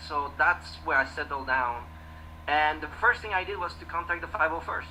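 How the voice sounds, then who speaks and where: A French accent against noticeable background noise. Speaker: costume builder and club member. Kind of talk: casual panel chat. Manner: halting, many repeated words.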